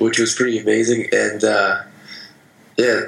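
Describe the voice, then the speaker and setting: Noticeable background noise accompanies a man speaking at a moderate pace with a fairly low pitch. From Vermont, US. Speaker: baseball player. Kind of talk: interview.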